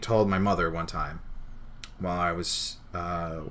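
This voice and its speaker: Audible room echo surrounds a man whose very deep, low voice carries an American accent and fairly even intonation. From New Jersey. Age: 20s. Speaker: streamer. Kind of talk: casual chat. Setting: live stream.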